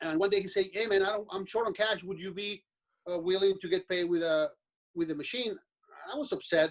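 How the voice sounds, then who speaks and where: Pitched high, a man speaks at a fairly quick pace. His pitch variation is ordinary. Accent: Mexican. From Mexico. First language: Spanish. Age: 40s. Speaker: business owner. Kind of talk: podcast interview. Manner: halting.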